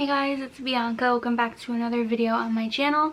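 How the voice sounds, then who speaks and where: A woman speaks at a fairly high pitch in a flat monotone. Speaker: beauty vlogger. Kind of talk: product review vlog. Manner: casual, chatty.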